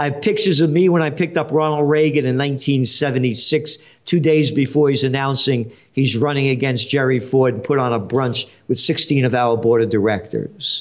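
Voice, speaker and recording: A man speaks at a fairly quick pace with a fairly high pitch and a New York accent. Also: ordinary pitch variation. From New York City (Bronx). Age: 70s. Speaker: trend forecaster and publisher. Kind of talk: interview. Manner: animated.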